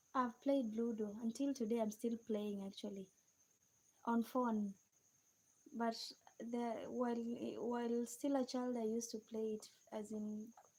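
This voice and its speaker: Speaking with a Kenyan accent, the voice stays monotone and flat. It goes at a fairly slow pace with long, frequent pauses. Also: woman, fairly high pitch for a woman. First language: a Kenyan native language. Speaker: live streamer. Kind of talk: live stream chat with viewers. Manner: halting.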